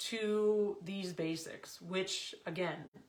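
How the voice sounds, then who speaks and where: With audible room echo, a woman speaks very slowly at a medium pitch and fairly even intonation. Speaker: confidence and business coach. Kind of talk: team coaching talk.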